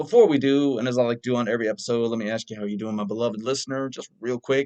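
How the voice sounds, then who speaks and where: At a very fast pace, a man with an American accent speaks at medium pitch in a dark, mellow tone with ordinary pitch variation, the sound dry and close with no echo. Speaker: movie review podcast host. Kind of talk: solo podcast review. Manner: animated.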